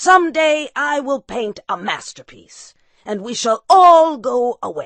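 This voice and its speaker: In a put-on character voice, the speaker projects loudly at a fairly slow pace, with very wide pitch swings. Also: woman, high pitch for a woman. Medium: read story. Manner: gruff, scolding.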